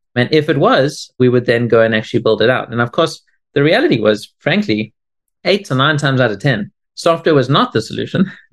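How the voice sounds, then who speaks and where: Speaking at a very fast pace, a man with a South African accent uses a medium pitch and ordinary pitch variation. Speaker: tech company CEO. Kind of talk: interview.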